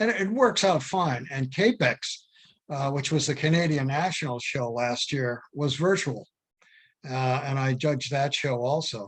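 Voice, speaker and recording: Over a quiet background, a man with a fairly high, somewhat breathy voice speaks at a moderate pace with ordinary pitch variation. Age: 80s+. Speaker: philatelic judge and exhibitor. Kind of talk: Q&A discussion. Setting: video call. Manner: halting, many fillers and restarts.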